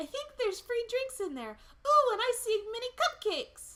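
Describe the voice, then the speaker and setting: A put-on character voice comes out extremely high and squeaky. It moves at a moderate pace. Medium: read story. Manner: enthusiastic.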